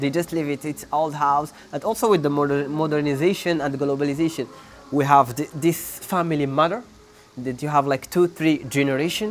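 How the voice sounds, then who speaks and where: Noticeable background noise is present. The man speaking has a fairly high pitch. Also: ordinary pitch variation. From Morocco, Sahara. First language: not English. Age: 20s. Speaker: PhD student and real estate agent. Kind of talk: interview answer.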